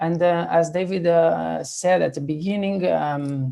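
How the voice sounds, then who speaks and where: This man has a Spanish accent and a fairly high pitch. His tone is dark and mellow, with fairly even intonation. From Spain. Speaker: ICU physiotherapist. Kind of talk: panel discussion. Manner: halting, many fillers.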